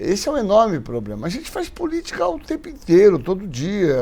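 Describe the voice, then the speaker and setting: Noticeable background noise sits under this clip. Over it, a man speaks at a moderate speed. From Brazil, Santos (São Paulo coast). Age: 60s. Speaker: physician and infectious disease expert. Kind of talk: interview conversation. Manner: hesitant, many fillers.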